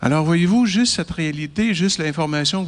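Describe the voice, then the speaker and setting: A man's high voice with ordinary pitch variation. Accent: Quebec. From Quebec. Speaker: chiropractor and lecturer. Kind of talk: lecture to an audience.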